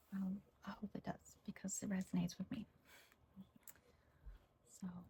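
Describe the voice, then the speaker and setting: Soft-spoken and slow-ish, a woman talks at medium pitch in a dark, mellow tone with vocal fry and monotone, flat intonation. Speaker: ASMR creator. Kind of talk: casual ASMR chat with her sister.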